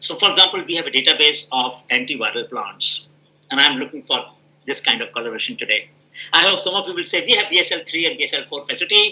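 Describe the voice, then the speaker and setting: Talking at a very fast pace, a man uses lively intonation with a bright, sharp tone and a high pitch. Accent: Indian. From India. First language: Hindi. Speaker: professor. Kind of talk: Q&A answer in an online scientific meeting.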